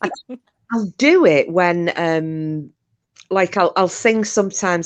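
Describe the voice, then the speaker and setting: A woman with a northern English accent, ordinary pitch variation, and a quiet background. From northern England. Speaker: podcast host. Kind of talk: casual chat. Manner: animated.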